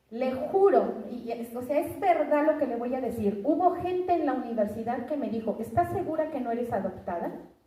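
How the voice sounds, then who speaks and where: A woman speaks at a high pitch with lively intonation, moderate pace and hardly any pauses, amid audible room echo and noticeable background noise. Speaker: preacher. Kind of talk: sermon.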